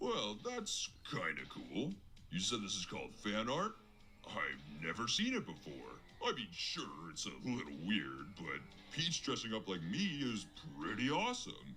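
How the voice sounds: A man's cartoonish character voice, fairly low in pitch, at a moderate pace, with clear background noise.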